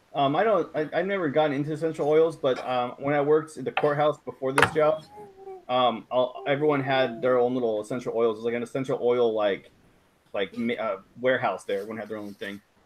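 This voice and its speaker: A man races along at a very fast pace with ordinary pitch variation while noticeable background noise carries on. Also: medium pitch for a man. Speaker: rideshare driver and YouTuber. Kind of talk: casual live stream chat. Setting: video call live stream.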